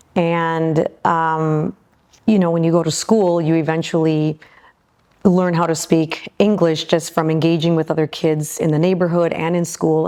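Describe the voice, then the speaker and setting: With a Midwestern American accent, a woman speaks at a moderate pace in a fairly low voice. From Michigan, US Midwest. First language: Spanish. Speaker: aerospace executive. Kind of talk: interview. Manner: hesitant, many fillers.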